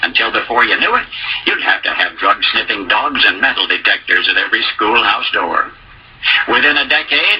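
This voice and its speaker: A man speaks at a moderate pace with very even loudness and long, frequent pauses. Noticeable background noise runs underneath. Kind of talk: spoken essay, radio commentary.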